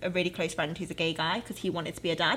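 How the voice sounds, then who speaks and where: A woman with a British accent talks at medium pitch. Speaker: podcast co-host. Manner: fast talker.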